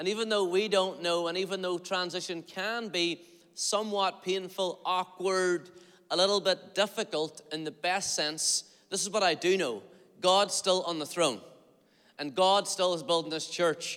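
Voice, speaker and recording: With a Northern Irish accent, a man speaks at a high pitch. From Northern Ireland, Derry area. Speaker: pastor. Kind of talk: sermon. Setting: church. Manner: animated; fast.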